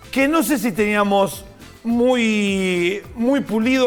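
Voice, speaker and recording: Music plays in the background as a man talks. His pitch is high and his intonation lively. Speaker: TV morning show host. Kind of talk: TV interview, hosting a guest.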